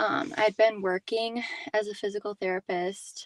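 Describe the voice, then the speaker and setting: Dry and close with no echo, the clip has a woman speaking fairly slowly at a medium pitch with ordinary pitch variation, in an ordinary speaking voice. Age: 20s. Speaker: physical therapist. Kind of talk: testimony.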